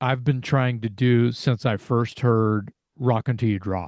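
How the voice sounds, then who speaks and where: Over a quiet background, a man talks at a very slow pace with ordinary pitch variation, the sound dry and close with no echo. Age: 60s. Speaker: heavy metal singer. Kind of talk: interview.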